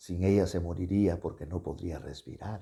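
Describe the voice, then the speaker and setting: With a very deep, low pitch and a dark, mellow tone, a man speaks somewhat breathily at a moderate pace on a very clean recording with a silent background. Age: 70s. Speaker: pastor. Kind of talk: sermon. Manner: halting.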